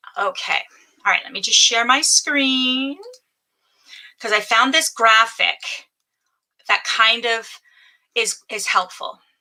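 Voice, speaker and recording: A woman with a high-pitched voice and a bright, sharp tone projects loudly at a very slow pace, with big swings in loudness and long, frequent pauses. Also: ordinary pitch variation. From Ontario, Canada. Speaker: business coach. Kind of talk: live stream training. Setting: home office live stream. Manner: casual, chatty.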